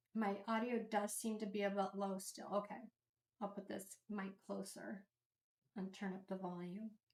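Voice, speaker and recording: A quiet voice at a moderate pace, flat and monotone in intonation. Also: woman, medium pitch for a woman. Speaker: streamer hosting a watch party. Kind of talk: live stream chat.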